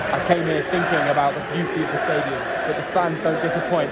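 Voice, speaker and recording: A man speaks at a fairly quick pace as loud background noise plays. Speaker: football vlogger. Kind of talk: casual vlog commentary. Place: stadium. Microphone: phone near.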